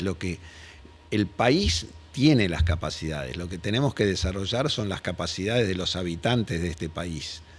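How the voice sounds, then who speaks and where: A man's very deep, low pitch with lively intonation, at a moderate pace. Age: 70s. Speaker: industrial company founder. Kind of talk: interview. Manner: halting with repetitions.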